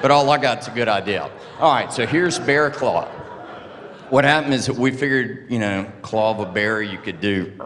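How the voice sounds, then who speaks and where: Amid audible room echo and noticeable background noise, a man with a Southern US accent speaks at a fairly quick pace and medium pitch with lively intonation. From US South. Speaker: open source advocate. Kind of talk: conference talk. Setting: stage with audience. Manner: casual, joking.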